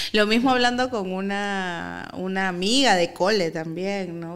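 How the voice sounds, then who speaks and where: Her voice, a normal speaking voice, rests at a medium pitch for a woman. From Peru. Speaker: actress and activist. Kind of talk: casual chat. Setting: studio.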